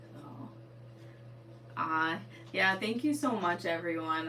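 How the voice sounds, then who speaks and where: A woman with an American accent swings her pitch very widely against noticeable background noise. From Eastern Connecticut, New England. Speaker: sewing livestreamer and teacher. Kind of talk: casual livestream chat. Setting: livestream at home. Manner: casual, filler-heavy.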